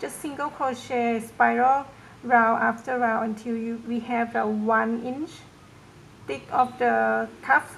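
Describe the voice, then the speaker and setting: A woman with a non-native accent, fairly high in pitch, at a very slow pace over light background noise. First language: not English. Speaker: crochet tutorial maker; crochet instructor. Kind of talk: tutorial. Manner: hesitant, many fillers.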